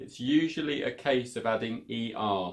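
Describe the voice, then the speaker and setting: A man with a British accent speaks at a fairly slow pace in a medium-pitched voice. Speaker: English teacher. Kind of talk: English lesson to camera. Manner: casual, clear.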